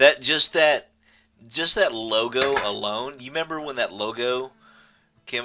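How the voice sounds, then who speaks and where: Music plays in the background as a man speaks. He goes at a fairly slow pace with ordinary pitch variation. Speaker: gaming talk show host. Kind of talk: casual talk show banter.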